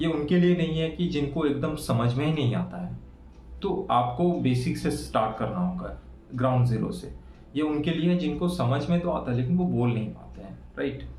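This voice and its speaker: Someone with a Bengali accent speaks at a moderate pace. Noticeable background noise and audible room echo come through. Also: man. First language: Bengali (speaking Hindi). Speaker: English-speaking tutor / YouTuber. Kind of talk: tutorial. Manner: casual, with frequent fillers.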